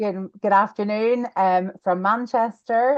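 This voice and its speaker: The voice carries a Belfast accent at a moderate pace. The sound is dry and close, with no echo. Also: woman. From Northern Ireland, Belfast. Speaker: real estate lawyer. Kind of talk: webinar presentation.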